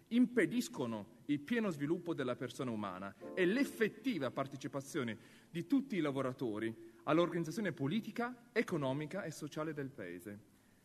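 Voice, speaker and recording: Faint music plays in the background as a man speaks at a fairly quick pace, his fairly high voice making very wide pitch swings. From China. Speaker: actor. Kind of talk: public reading of constitution article. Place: hall. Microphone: podium.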